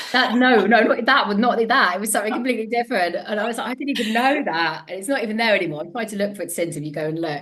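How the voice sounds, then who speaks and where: Talking very fast in an animated tone, a woman with a Devon accent uses lively intonation and hardly any pauses over noticeable background noise. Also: fairly high pitch for a woman. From England, Devon. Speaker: empowerment coach and former TV presenter. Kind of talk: podcast interview. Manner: fast, words jumbled at times.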